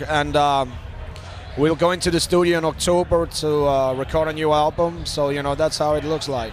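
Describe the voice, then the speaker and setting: Noticeable background noise runs behind a man speaking with fairly even intonation. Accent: non-native. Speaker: rock musician. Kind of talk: interview. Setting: backstage at a music festival. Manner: hesitant, many fillers.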